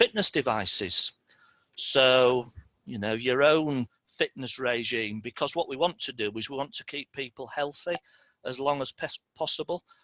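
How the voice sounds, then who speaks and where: Speaking at a medium pitch, a man uses ordinary pitch variation. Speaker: city digital programme presenter. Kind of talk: presentation. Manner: fast; halting.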